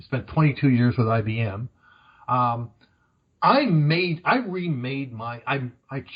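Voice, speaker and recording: The voice is somewhat breathy, moving at a fairly slow pace with lively intonation. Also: man. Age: 60s. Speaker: career coach. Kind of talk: podcast interview.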